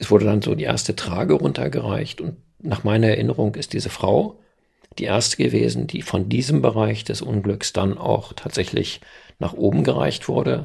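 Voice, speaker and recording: A man at a fairly low pitch with vocal fry, very wide pitch swings and a moderate pace. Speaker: local journalist, eyewitness. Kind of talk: interview testimony.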